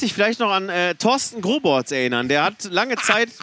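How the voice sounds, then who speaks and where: Projecting a raised voice, a man talks at a high pitch with lively intonation. His pace is moderate. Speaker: podcast co-host. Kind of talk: casual chat. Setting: back room of a rock club before a concert.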